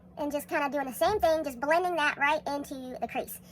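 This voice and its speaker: Over noticeable background noise, a woman talks very fast in an American accent. Her pitch is high. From Texas. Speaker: makeup tutorial creator. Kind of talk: tutorial. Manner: casual, chatty.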